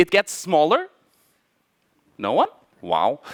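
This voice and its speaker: This man speaks with a non-native accent. The sound is dry and close, with no echo. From Portugal and Germany. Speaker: mathematician giving a talk. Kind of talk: conference talk. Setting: stage with audience. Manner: halting, many fillers and restarts.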